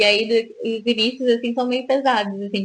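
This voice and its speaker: Her pitch fairly high, a woman keeps a moderate pace and a monotone, flat intonation. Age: 30s. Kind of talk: casual radio chat. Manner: hesitant, many fillers.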